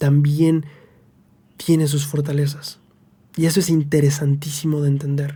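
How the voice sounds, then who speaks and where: Speaking at a fairly slow pace, a man uses a fairly high pitch and a dark, mellow tone with some breathiness. Audible room echo surrounds him. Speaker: religious scripture teacher. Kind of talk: scripture study lesson.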